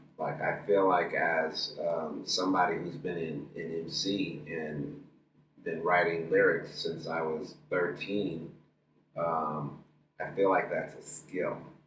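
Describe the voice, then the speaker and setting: A man talks at a very slow pace, and audible room echo trails his voice. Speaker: musician and MC. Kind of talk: casual interview chat. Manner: loud, projecting.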